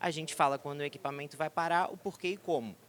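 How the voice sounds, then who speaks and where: His speech races at a very fast pace. The man's voice is fairly high in pitch. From southern Brazil. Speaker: tech company executive. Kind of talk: conference presentation. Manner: hesitant, filler-heavy.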